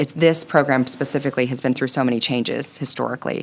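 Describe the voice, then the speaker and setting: A woman with a very deep, low pitch talks at a very fast pace, with vocal fry and fairly even intonation. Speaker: school board member. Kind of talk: public meeting discussion.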